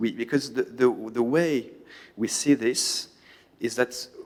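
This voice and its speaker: A man's medium-pitched voice moves along at a fairly slow pace. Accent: French. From France. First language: French. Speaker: conference panelist. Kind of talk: panel talk. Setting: conference hall with audience. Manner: halting, many repetitions.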